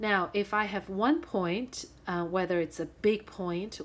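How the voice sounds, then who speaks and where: The woman has an ordinary speaking voice with a fairly low pitch. She talks at a fairly slow pace with ordinary pitch variation. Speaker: high school math teacher. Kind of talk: recorded video lesson. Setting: screen-recorded whiteboard lesson.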